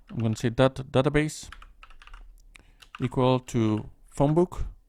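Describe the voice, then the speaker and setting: A fairly slow delivery in a non-native accent. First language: not English. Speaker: programming tutor. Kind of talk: screen-recorded coding tutorial. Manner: halting, thinking aloud.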